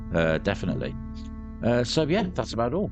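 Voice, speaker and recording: Music plays in the background behind a man's voice. He speaks with a British accent at a fairly quick pace. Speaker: gaming YouTuber. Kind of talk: let's play commentary. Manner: subdued, quieter than usual.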